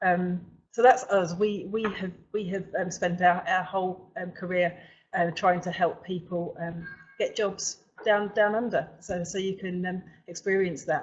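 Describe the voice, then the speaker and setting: At a fairly slow pace, a woman speaks in a medium pitch with monotone, flat intonation. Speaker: webinar host, recruitment company owner. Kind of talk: webinar presentation. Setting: online webinar from office. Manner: halting, many fillers and repetitions.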